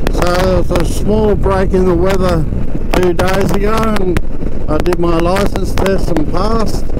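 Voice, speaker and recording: The sound is dry with no echo as a man speaks. Loud background noise is present. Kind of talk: casual vlog chat. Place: motorbike.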